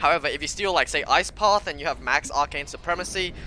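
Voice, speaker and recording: A man talks at a fairly quick pace with music playing behind him. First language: not English. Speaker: esports caster. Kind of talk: live commentary. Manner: halting.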